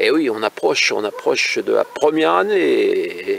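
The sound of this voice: At a fairly slow pace, a man speaks with vocal fry and big pitch swings.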